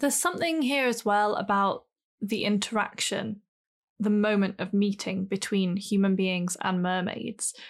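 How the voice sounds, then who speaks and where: A woman speaks in an ordinary speaking voice at a moderate pace, with medium pitch and ordinary pitch variation. Her loudness stays very even over a quiet background. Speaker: podcast co-host. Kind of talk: casual chat.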